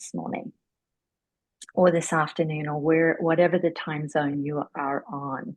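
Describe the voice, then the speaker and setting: Speaking at a moderate pace, a woman with an Australian accent has a very deep, low voice. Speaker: interviewer, yoga therapy book club host. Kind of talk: interview.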